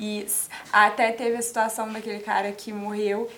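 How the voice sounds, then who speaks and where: A woman's fairly high voice at a moderate pace, against noticeable background noise. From Espírito Santo, Brazil (Guarapari). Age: 20s. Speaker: psychology student. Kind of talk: casual interview. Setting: TV studio.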